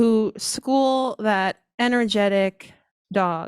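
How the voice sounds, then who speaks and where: Soft-spoken and at medium pitch, a woman varies her pitch in an ordinary way on a very clean recording with a silent background. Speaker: guide dog school outreach manager. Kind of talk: ceremony speech. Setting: graduation ceremony with audience.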